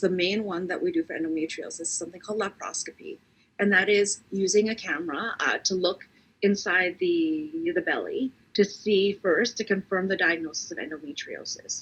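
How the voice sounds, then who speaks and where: A woman talks at a moderate pace in a medium pitch with lively intonation. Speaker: physician. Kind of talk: Q&A session answering health questions. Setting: online live Q&A. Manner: hesitant, many fillers.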